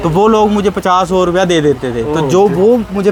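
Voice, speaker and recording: Against noticeable background noise, a man speaks in a high pitch. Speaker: travel vlogger. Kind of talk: interview answer.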